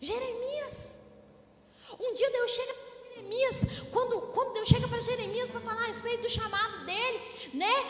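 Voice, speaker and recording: Over background music in a room with audible echo, a woman speaks at an extremely high pitch with fairly even intonation, big swings in loudness, and long, frequent pauses. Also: moderate pace. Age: 20s. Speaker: preacher. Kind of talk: sermon.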